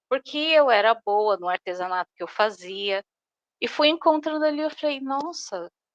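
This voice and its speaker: A woman speaks in a high pitch with very wide pitch swings. The sound is dry and close, with no echo. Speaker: workshop participant. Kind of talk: personal sharing in a group. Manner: slow; hesitant.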